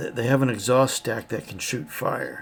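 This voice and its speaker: A man's raspy put-on character voice, medium in pitch, at a moderate pace with big swings in loudness. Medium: actual play. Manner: hesitant, stammering.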